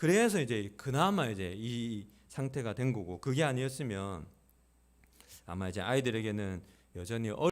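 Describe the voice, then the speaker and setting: A man with a calm tone speaks at a moderate pace and lively intonation. He takes long, frequent pauses. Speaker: pastor. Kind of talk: sermon. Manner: raised pitch when preaching.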